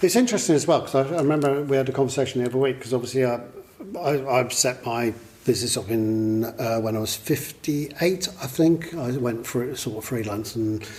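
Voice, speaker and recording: A man at a medium pitch, with ordinary pitch variation and a fairly quick pace, against noticeable background noise. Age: 60s. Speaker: business consultant and interviewer. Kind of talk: interview. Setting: live event with audience.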